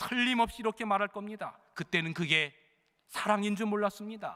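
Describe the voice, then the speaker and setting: Fairly even intonation and a bright, sharp tone from a man. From Chungcheong province, South Korea. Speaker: senior pastor. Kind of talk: sermon. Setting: church. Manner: fairly fast, not slow Chungcheong pace.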